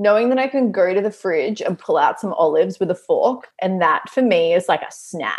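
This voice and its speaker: With an Australian accent, a woman of medium pitch talks at a fairly quick pace with lively intonation and hardly any pauses. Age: 30s. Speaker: business coach and Pilates studio owner. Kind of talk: casual chat.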